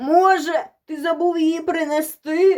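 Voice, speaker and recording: A woman talks fairly slowly. She puts on a character voice pitched extremely high. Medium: read story. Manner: fawning, ingratiating.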